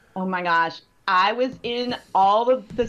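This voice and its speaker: With a slight Southern California accent, a woman speaks at a medium pitch. Her pitch variation is ordinary. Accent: slight Valley girl twang. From Southern California, San Fernando Valley. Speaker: pastor. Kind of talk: casual chat.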